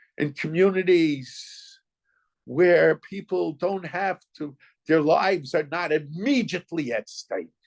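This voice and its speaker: A man with an American accent speaks very slowly in a high pitch, with ordinary pitch variation. The sound is dry and close with no echo, over a quiet background. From US, New York. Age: 70s. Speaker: rabbi. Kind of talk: Torah lecture. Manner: halting, with repeated words.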